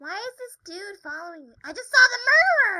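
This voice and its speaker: A woman speaks in a put-on character voice, squeaky and extremely high-pitched. Her pace is fairly quick. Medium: game stream. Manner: casual, rambling, upbeat.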